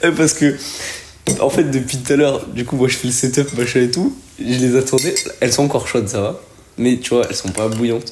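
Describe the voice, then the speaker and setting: A man's medium-pitched voice at a fairly quick pace, fairly even in intonation, broken by long, frequent pauses, with noticeable background noise. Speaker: calisthenics athlete. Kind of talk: casual chat.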